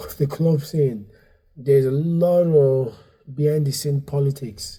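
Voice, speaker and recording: Somewhat breathy, a man speaks at a fairly high pitch with a dark, mellow tone. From Nigeria, raised partly in Dublin. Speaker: stand-up comedian and comedy club owner. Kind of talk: casual podcast interview. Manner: halting, many fillers and restarts; animated.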